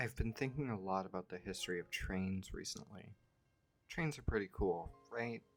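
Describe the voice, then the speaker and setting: Music plays behind a man whose fairly low pitch carries lively intonation at a moderate pace. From Canada. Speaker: video essayist. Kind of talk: scripted narration.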